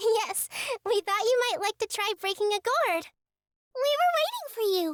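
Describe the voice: A woman's cartoonish character voice, squeaky and extremely high in pitch, at a moderate pace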